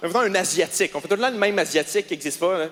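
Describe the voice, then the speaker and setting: An animated tone and lively intonation mark this voice with a Quebec accent, heard over noticeable background noise. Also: man. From Quebec, Quebec City. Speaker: stand-up comedian. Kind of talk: stand-up. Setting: stage with audience.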